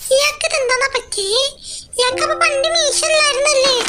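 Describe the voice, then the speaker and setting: An extremely high, squeaky put-on character voice. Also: moderate pace. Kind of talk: comic overacting. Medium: fan dub.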